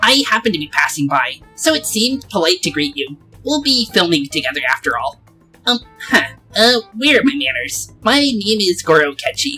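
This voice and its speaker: A put-on character voice at a fairly high pitch with very wide pitch swings moves at a moderate pace over faint music in the background. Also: female-sounding voice. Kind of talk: polite. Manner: comedic, polite.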